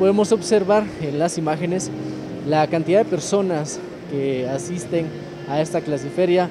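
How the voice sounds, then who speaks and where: A moderate pace of talking amid noticeable background noise. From Guatemala. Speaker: reporter. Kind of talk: live field report. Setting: convention center job fair. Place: hall. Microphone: phone near.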